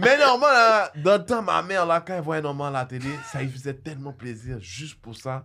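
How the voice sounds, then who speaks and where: Speaking at a fairly quick pace, a man with a fairly high pitch makes very wide pitch swings and big swings in loudness. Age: 40s. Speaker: comedian. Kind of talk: casual chat.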